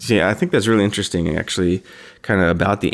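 With an American accent, a man speaks in a very deep, low voice and fairly even intonation. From Idaho, US West. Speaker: podcast host. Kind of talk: casual chat.

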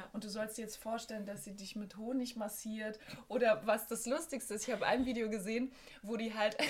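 Monotone, flat intonation marks this woman's speech against noticeable background noise. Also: fairly high pitch for a woman, fairly quick pace. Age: 30s. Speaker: musician and songwriter. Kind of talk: casual chat.

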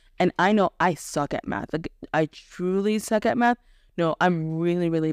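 With an American accent, a woman speaks in an ordinary speaking voice at a fairly low pitch with ordinary pitch variation, on a very clean recording with a silent background and a dry, close sound with no echo. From US, Haitian American family. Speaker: podcast host, homeschooling parent. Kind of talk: casual chat.

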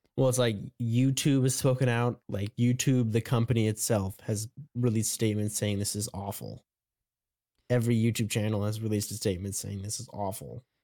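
The recording is very clean with a silent background as a man speaks fairly quickly at a medium pitch, his tone dark and mellow and his intonation fairly even. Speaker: podcast co-host. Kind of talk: casual chat.

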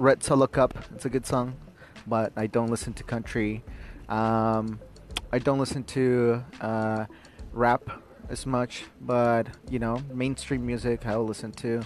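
Monotone, flat intonation from a man at medium pitch and a fairly slow pace. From Ecuador. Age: 20s. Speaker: podcast host. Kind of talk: solo podcast monologue, personal and casual. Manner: reflective, conversational, with frequent fillers.

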